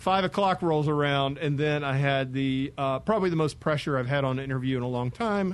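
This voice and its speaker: Here is a man with a plain, everyday voice and a fairly high pitch. He speaks at a moderate pace with ordinary pitch variation. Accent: American. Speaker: radio host. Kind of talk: radio interview. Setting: studio.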